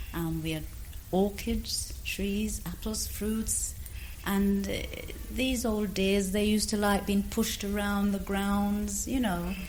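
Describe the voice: A woman talks slowly at a medium pitch. Her intonation stays fairly even.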